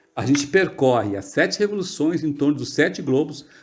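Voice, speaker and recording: Somewhat breathy, this man's fairly high-pitched voice carries lively intonation. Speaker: study group leader. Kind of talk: lecture. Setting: video call.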